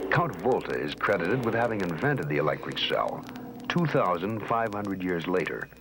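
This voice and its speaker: A man talks at a fairly quick pace in a dramatic tone, his pitch swinging very widely. Noticeable background noise is present. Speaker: documentary narrator. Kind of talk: dramatic documentary narration. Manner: dramatic, measured.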